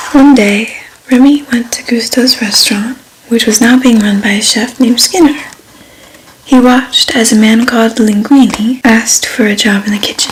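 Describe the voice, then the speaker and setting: The voice is soft-spoken and calm in tone, with fairly even intonation. It moves at a moderate pace over noticeable background noise. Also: woman, fairly high pitch for a woman. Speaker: ASMR creator. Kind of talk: bedtime story reading. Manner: soft-spoken, calm.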